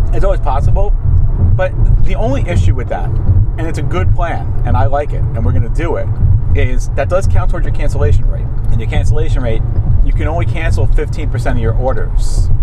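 A man talking very fast over loud background noise, dry and echo-free. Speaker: delivery driver vlogger. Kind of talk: casual vlog chat. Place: car. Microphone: lapel.

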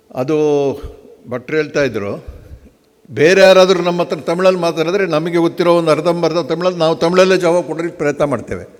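With ordinary pitch variation, this man speaks in a high voice. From Karnataka, Hassan district (Arkalgud). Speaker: hotel executive. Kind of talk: conference speech. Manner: halting.

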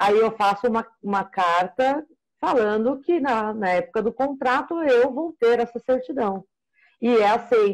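A woman with an unremarkable speaking voice talks at a fairly slow pace, her fairly high pitch moving with ordinary variation over a quiet background. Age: 40s. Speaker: procurement analyst. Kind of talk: casual consultation. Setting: video call. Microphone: video call.

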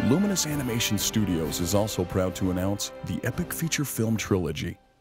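Fairly low-pitched man's voice, lively intonation and a fairly quick pace, with music in the background. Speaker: announcer. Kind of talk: movie trailer.

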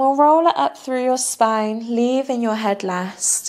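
High-pitched for a woman, her gentle, soothing tone moves at a fairly slow pace over a quiet background. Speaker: yoga instructor. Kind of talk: guided yoga class, calm step-by-step cueing. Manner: soothing, slow and unhurried; gentle, encouraging. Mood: calm, soothing. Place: home room. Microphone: lapel.

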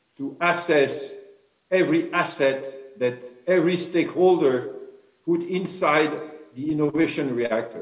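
Against a quiet background with audible room echo, a man with a French accent speaks at a fairly high pitch with ordinary pitch variation. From France. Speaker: innovation director; speaker. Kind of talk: formal speech and panel discussion. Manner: halting. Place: home room. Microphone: video call.

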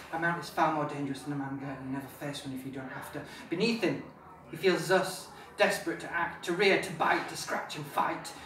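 Delivered at a fairly quick pace with ordinary pitch variation, the speech shows big swings in loudness amid audible room echo and light background noise. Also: man. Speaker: author. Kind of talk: live reading of own fantasy novel. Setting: pub, live audience. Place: bar. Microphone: camera far.

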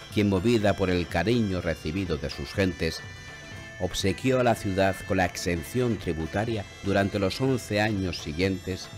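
Music plays in the background as a man talks at a fairly slow pace. His pitch is very deep and low, with ordinary variation. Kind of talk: historical documentary narration. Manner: solemn, measured.

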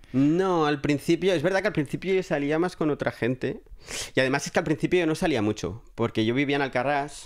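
Here is an ordinary speaking voice from a man, fairly high in pitch, with ordinary pitch variation and very even loudness. He talks at a fairly quick pace on a very clean recording with a silent background. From Catalonia, Spain (Alcarràs, near Lleida). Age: 30s. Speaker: film production worker. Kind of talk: casual chat.

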